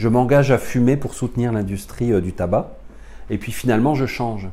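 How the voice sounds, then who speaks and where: Heard with audible room echo, a man talks at a moderate pace and medium pitch, his dark, mellow tone showing ordinary pitch variation. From France. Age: 40s. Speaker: spiritual teacher. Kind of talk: lecture.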